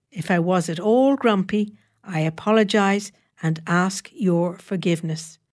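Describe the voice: The pitch variation is ordinary. This is plain reading aloud in a quiet background.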